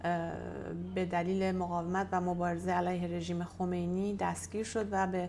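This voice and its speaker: A woman's fairly slow speech in a room with audible echo. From Iran. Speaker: activist. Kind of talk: interview testimony. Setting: in-person interview via interpreter. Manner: halting.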